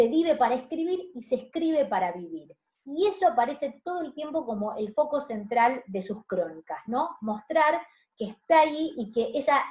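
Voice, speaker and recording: Her voice is pitched high with very wide pitch swings as the woman speaks at a moderate pace. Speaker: university lecturer. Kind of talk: lecture. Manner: hesitant, many fillers.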